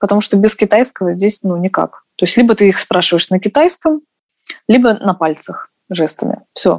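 A woman has an ordinary speaking voice, medium in pitch, with lively intonation. She keeps a moderate pace, and the sound is dry and close with no echo. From Russia. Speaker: dancer. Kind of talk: casual chat.

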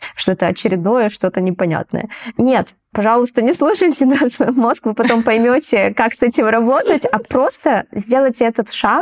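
A woman with a plain, everyday voice speaks at a moderate pace and a fairly high pitch, her intonation lively and the sound dry and close with no echo. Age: 30s. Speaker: coaching program participant. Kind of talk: casual chat.

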